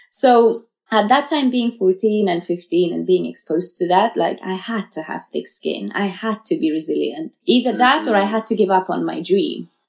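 A woman talks at a moderate pace in a medium pitch, with vocal fry. Her intonation is lively and she hardly pauses. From Uzbekistan, raised in Russia and the UK. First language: Farsi. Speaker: model. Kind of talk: interview.

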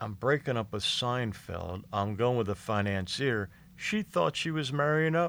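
A man in an American accent, with an ordinary speaking voice at a medium pitch, uses lively intonation at a fairly slow pace. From Philadelphia area, US. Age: 50s. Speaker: stand-up comedian. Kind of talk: casual chat.

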